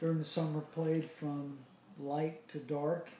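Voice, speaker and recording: A man with an American accent speaks in a monotone, flat intonation at a fairly high pitch and moderate pace, with audible room echo. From US South, Charleston, South Carolina. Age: 60s. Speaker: interviewee recalling childhood. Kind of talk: oral history interview. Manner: hesitant, many fillers.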